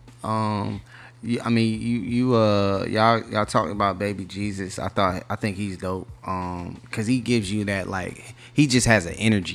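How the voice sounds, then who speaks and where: With fairly even intonation, a man talks in a Southern US accent at a moderate pace, his pitch fairly low. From North Carolina. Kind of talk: casual chat. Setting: studio.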